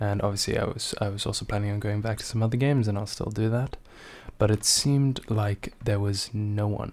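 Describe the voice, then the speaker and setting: A soft-spoken man talks at a fairly low pitch. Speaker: gaming vlogger. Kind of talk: casual vlog monologue. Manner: soft-spoken, muted; hesitant, many fillers.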